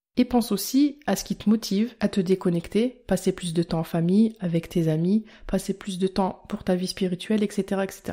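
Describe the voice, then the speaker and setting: On a very clean recording with a silent background, a woman with a dark, mellow tone and medium pitch talks at a moderate pace with fairly even intonation and hardly any pauses. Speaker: health podcaster and blogger. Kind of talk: scripted educational monologue.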